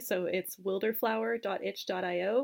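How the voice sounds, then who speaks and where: A woman with a Canadian accent and a plain, everyday voice talks at a medium pitch and a fairly slow pace. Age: 20s. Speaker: game designer. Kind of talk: interview.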